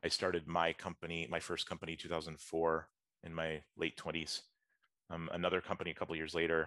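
Speaking with an American accent, a man has a very deep, low pitch and a bright, sharp tone. He goes at a fairly quick pace in a monotone, flat intonation. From US South, Atlanta, Georgia. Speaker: entrepreneur. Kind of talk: interview.

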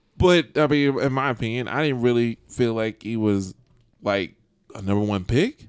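The speaker has a normal speaking voice with ordinary pitch variation and a moderate pace. The background is quiet, and the sound is dry and close with no echo. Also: man, medium pitch for a man. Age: 20s. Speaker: podcast host. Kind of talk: casual chat.

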